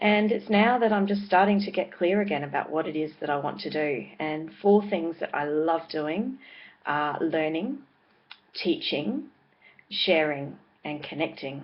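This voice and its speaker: Fairly slow speech in an Australian accent. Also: woman, fairly low pitch for a woman. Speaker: vlogger and parenting blogger. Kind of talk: casual vlog monologue. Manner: hesitant, with many fillers.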